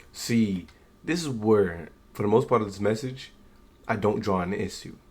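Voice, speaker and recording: Quiet and at a moderate pace, a man talks in a fairly low pitch with ordinary pitch variation. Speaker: YouTube sports commentator. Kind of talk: casual reaction commentary. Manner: quiet, keeping voice down.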